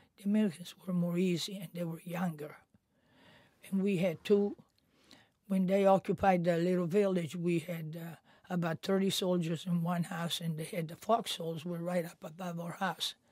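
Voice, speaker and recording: At a moderate pace, a woman speaks with a somewhat breathy, dark, mellow tone, fairly low pitch and monotone, flat intonation. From Italy. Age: 80s+. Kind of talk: interview answer.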